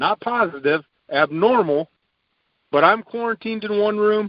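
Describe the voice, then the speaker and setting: A high-pitched man speaks at a fairly slow pace with lively intonation. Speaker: podcast host, sports commentator. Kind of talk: casual sports podcast chat.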